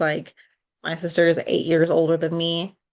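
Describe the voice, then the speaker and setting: A woman speaks with a Chicago accent at a fairly low pitch. The background is quiet. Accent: Chicago-area American. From US Midwest, Chicago suburbs. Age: 30s. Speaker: podcast co-host. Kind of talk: casual chat.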